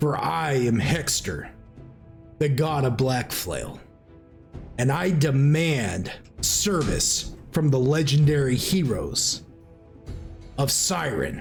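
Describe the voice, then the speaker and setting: Putting on a character voice, a man booms loud and resonant at a fairly high pitch, very slowly and with long, frequent pauses, over clear music in the background. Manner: booming, commanding.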